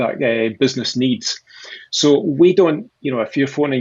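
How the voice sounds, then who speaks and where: Here a man speaks with a Scottish accent. His pace is moderate. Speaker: sales executive at a conversational AI company. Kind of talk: interview. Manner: halting, many repeated words.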